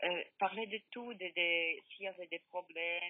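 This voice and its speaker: This woman has a fairly low-pitched voice. She speaks with a Polish accent. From Poland. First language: Polish (speaking French). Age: 50s. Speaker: bereaved mother. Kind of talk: testimony. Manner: halting.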